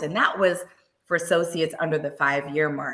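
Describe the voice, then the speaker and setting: Very deep and low in pitch, a woman's voice carries vocal fry. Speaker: well-being program presenter. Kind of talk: lecture.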